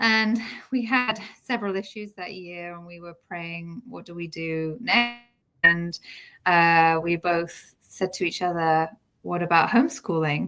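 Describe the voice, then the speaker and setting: A woman with a British accent, fairly low in pitch, at a fairly slow pace, with ordinary pitch variation, big swings in loudness and music in the background. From UK. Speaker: homeschooling mother. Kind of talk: interview.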